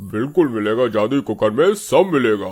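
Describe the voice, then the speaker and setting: A cartoonish character voice from a man, medium in pitch and fairly slow in pace. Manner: playful, teasing, comic.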